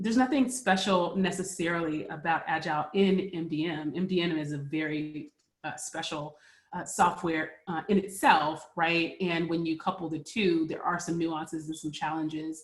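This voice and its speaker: Her voice is fairly low for a woman, with ordinary pitch variation. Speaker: MDM consultant and agile practitioner. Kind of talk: webinar presentation. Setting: working from home, virtual webinar. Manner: fast.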